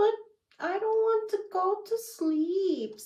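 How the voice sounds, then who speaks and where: A woman's squeaky, put-on character voice at an extremely high pitch and a very slow pace. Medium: read story.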